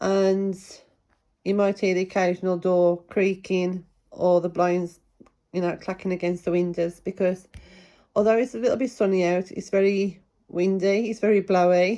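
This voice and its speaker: In a British accent, a woman speaks at a medium pitch with a dark, mellow tone and fairly even intonation. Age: 50s. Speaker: book reviewer. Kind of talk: casual book review vlog. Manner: rambling, hesitant with fillers.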